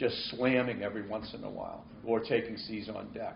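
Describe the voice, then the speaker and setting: A man's medium-pitched voice with a Boston accent and audible room echo. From New England (Boston). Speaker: marine weather forecaster. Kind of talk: seminar Q&A. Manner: halting, many repeats.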